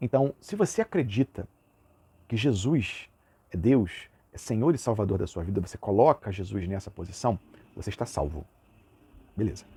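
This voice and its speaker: A man's fairly low, somewhat breathy voice with a dark, mellow tone and lively intonation, at a moderate pace with long, frequent pauses, in a dry, close sound with no echo. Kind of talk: lecture. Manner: casual, uses filler words.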